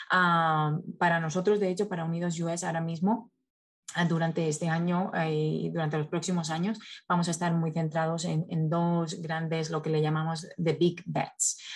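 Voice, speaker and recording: In a quiet background, a woman speaks at a moderate pace, fairly low and somewhat breathy, with monotone, flat intonation. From Spain. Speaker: nonprofit communications specialist. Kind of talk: interview. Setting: video call. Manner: halting, frequent repetitions.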